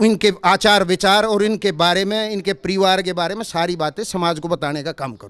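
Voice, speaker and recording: The man's pitch is high, with ordinary variation. He speaks at a moderate pace in a dry, close sound with no echo. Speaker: khap panchayat chief. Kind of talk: interview. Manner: loud, fiery; halting with fillers.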